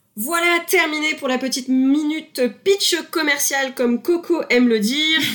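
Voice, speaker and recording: Amid noticeable background noise, a woman with a high pitch talks at a fairly slow pace with ordinary pitch variation. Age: 20s. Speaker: podcast host and property investor. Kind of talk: scripted show intro and product pitch.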